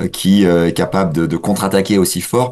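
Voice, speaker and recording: The man's pitch is very deep and low. He talks at a moderate pace with ordinary pitch variation. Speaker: political science lecturer. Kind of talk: radio interview. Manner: halting, many hesitations.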